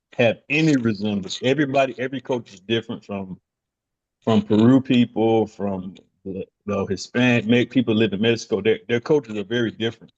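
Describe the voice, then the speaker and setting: A man with a Southern US accent talks at a fairly quick pace at a medium pitch, with ordinary pitch variation and a dry, close sound with no echo. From US South, North Carolina (Charlotte). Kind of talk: casual chat.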